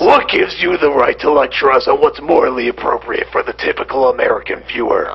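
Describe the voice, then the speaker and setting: A man rattles along at a very fast pace in a put-on character voice. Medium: comedy sketch. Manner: gruff, terse.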